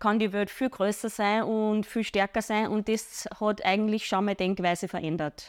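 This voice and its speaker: A woman's fairly high-pitched, normal speaking voice, at a moderate pace with fairly even intonation. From Upper Austria. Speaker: fitness trainer. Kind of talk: interview.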